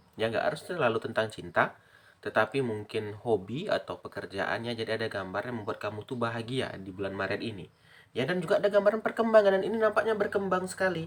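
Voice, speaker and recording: A loud man with a medium pitch speaks at a very fast pace, his pitch swinging very widely. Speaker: tarot reader. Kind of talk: tarot reading. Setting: at home.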